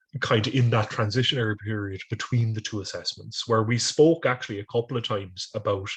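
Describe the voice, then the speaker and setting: A fairly low-pitched, somewhat breathy man with an Irish accent and fairly even intonation, against a quiet background. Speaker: speech and language therapist, interviewer. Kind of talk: interview.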